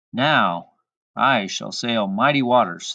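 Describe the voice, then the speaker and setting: At a fairly slow pace, a man speaks in a put-on character voice of medium pitch. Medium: read story. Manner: proud, eager.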